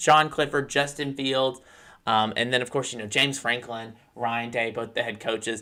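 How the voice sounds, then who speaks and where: Recorded very cleanly against a silent background, a man with a bright, sharp tone speaks at a moderate pace. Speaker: college football show host. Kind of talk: sports talk show monologue.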